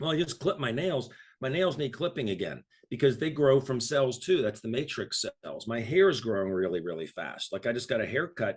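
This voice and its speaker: A somewhat breathy man's voice at medium pitch, fairly quick pace and very wide pitch swings. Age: 60s. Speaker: health product promoter. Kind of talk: casual chat.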